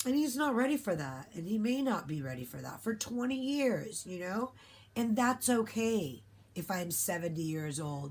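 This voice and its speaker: A woman's somewhat breathy voice moves at a moderate pace, its pitch swinging very widely. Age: 50s. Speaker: vlogger. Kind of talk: casual monologue. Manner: animated.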